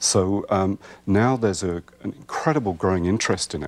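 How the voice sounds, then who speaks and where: Speaking with an American accent at a moderate pace, a man uses a fairly low pitch with ordinary pitch variation. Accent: Welsh-British accent noticed in US. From Wales. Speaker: herbalist. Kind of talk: TV talk show interview. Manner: hesitant, many ums.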